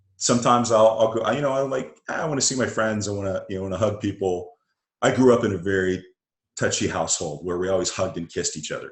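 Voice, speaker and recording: With an American accent, a man speaks very fast in a somewhat breathy, fairly low voice with ordinary pitch variation. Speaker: interview guest. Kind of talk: casual interview chat.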